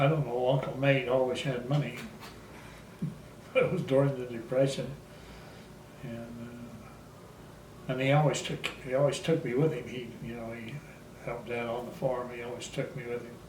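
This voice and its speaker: Amid noticeable background noise and audible room echo, a man of medium pitch speaks at a moderate pace with fairly even intonation, long, frequent pauses and big swings in loudness. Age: 80s+. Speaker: grandfather telling life story, military veteran. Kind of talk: oral history interview. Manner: halting, with false starts.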